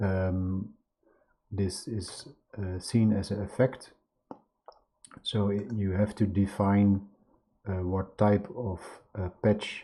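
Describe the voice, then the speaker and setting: A man with a non-native accent talks at a very slow pace in a fairly low, somewhat breathy voice. Long, frequent pauses break up his speech. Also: fairly even intonation. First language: not English. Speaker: video artist teaching a software tool. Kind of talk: screen-share tutorial. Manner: halting, many fillers.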